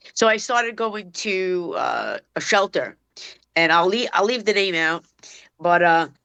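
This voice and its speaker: A woman with a Brooklyn accent speaks at a moderate pace, fairly low in pitch, with a bright, sharp tone and ordinary pitch variation. The sound is dry and close with no echo, against a quiet background. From New York City, Brooklyn (Bensonhurst). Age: 50s. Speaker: dog trainer. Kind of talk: casual chat.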